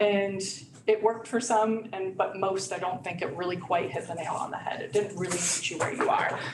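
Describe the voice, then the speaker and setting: Medium-pitched woman with ordinary pitch variation, over noticeable background noise and audible room echo. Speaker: community resource and training specialist. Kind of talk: presentation at a provider meeting. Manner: fast.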